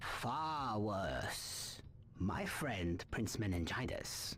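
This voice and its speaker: A man performs a put-on character voice. Clear background noise runs underneath. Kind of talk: wise-mentor speech. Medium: video game. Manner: solemn, measured, aphoristic.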